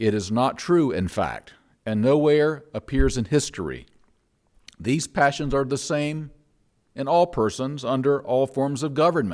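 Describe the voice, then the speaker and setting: A man with a Southern US accent, medium pitch, lively intonation and a fairly slow pace. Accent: Southern American. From North Carolina, USA. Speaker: minister and psychologist. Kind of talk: church sermon.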